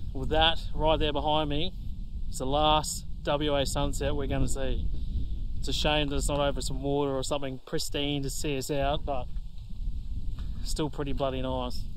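A man talks with long, frequent pauses. Noticeable background noise sits behind him. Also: moderate pace, dry sound with no echo. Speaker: travel vlogger. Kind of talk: casual vlog chat. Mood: relaxed, upbeat. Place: open country. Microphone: phone near.

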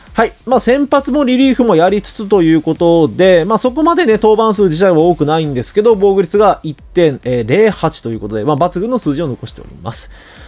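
The voice makes very wide pitch swings over noticeable background noise. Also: man, high pitch for a man, big swings in loudness. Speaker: baseball YouTuber. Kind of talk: commentary video on player prospects. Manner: frequent filler words, polite formal style.

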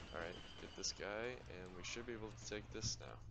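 At a moderate pace, a man speaks over loud background noise. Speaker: gamer commentator. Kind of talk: casual gameplay commentary. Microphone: headset.

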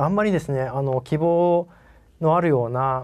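A man talks at a fairly quick pace and a fairly high pitch. His pitch varies in an ordinary way, with a quiet background. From Japan. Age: 40s. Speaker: company CEO; presenter. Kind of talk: investor presentation; investor presentation and Q&A answers. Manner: polite, many fillers.

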